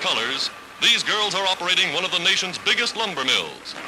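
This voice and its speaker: A man's high-pitched, fairly quick speech over noticeable background noise. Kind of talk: vintage newsreel narration.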